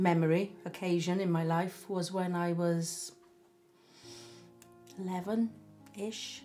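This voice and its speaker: Over faint background music, a woman with a South Welsh accent speaks at a very slow pace in a monotone, flat intonation. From Barry, South Wales. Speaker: storyteller recalling her life. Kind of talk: interview answer. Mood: reflective, gently emotional. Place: home room. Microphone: camera far.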